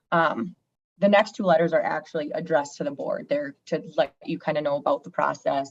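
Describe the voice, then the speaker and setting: A woman with a fairly low pitch talks at a fairly quick pace with fairly even intonation, recorded dry and close with no echo. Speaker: auditor presenting financial audit to board. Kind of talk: board meeting presentation. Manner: fast.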